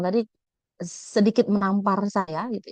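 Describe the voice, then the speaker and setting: A woman's medium-pitched voice, dry and close-miked with no echo. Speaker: nursing lecturer. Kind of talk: webinar presentation. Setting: video call.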